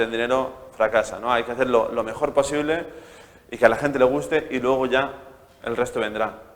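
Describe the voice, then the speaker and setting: Noticeable background noise sits behind a man speaking at a very fast pace. His pitch is medium and his intonation fairly even. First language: Spanish. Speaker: startup founder. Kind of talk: talk to an audience. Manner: halting, many repeated words.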